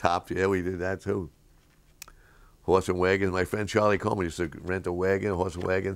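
Pausing long and often, a man with a New York accent talks in a very deep, low pitch with monotone, flat intonation against a quiet background. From New York City, Lower East Side. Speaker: interviewee recalling childhood. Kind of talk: interview answer. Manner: casual, anecdotal storytelling. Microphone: camera far.

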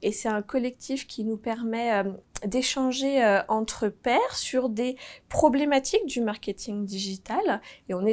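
A woman's fairly high voice at a very slow pace. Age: 30s. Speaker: marketing team manager. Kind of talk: corporate recruitment video interview. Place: office. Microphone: lapel.

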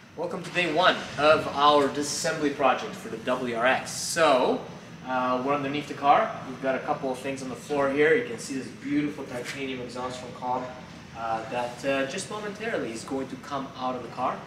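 Amid noticeable background noise, a man talks at a moderate pace with ordinary pitch variation and big swings in loudness. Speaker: presenter. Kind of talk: tutorial. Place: garage. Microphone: camera far.

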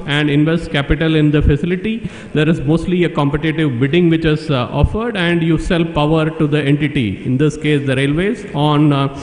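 In a room with audible echo, a man speaks at a fairly quick pace with hardly any pauses, very even loudness and ordinary pitch variation. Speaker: conference speaker. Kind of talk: conference presentation. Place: hall. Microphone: podium.

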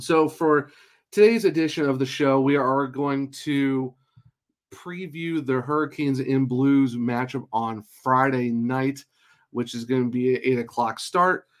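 Fairly slow delivery with ordinary pitch variation over a quiet background. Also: man. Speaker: podcast host. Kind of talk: podcast intro and ad read. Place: home room.

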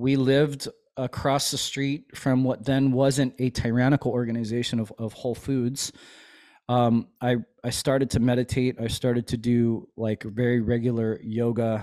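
A man speaks in a monotone with flat intonation and a dark, mellow tone against a quiet background. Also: moderate pace. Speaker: chiropractor and army veteran; podcast host, chiropractor as guest mentor. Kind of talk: casual interview chat. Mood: relaxed, reflective. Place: home room. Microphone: studio mic.

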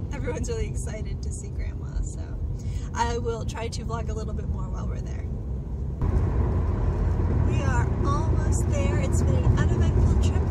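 Through loud background noise, a woman speaks with ordinary pitch variation and long, frequent pauses. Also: moderate pace, dry sound with no echo. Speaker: new mother vlogger. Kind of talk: casual vlog chat. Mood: relaxed, cheerful. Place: car. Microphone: phone near.

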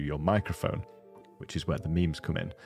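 A man with a very deep, low pitch speaks at a very fast pace. Faint music plays in the background, and the sound is dry with no echo. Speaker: streaming tech creator. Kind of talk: tutorial. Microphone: studio mic.

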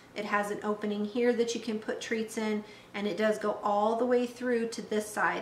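At a moderate pace, a woman talks with audible room echo and light background noise. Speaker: dog trainer demonstrating toys. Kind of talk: tutorial. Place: kitchen.

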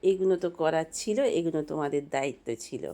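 A woman is speaking. Her pitch swings very widely. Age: 50s. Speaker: homemaker vlogger. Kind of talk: casual vlog narration. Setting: at home. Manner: chatty.

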